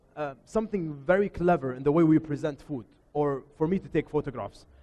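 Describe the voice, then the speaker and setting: The speaker has an Arabic accent. Pitch varies in an ordinary way. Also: man. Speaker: photographer and chef giving a workshop. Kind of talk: workshop presentation. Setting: showroom workshop with live audience. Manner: loud; informal, hesitant with repetitions.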